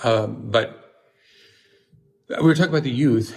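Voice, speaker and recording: A man is speaking. His voice is somewhat breathy. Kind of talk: casual chat. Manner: halting.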